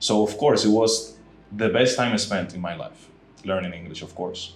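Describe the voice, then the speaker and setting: With a Spanish accent, a man with a fairly low voice talks at a moderate pace with ordinary pitch variation and big swings in loudness, amid audible room echo and background music. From Dominican Republic. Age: 30s. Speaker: podcast host being interviewed. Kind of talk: interview. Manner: straightforward.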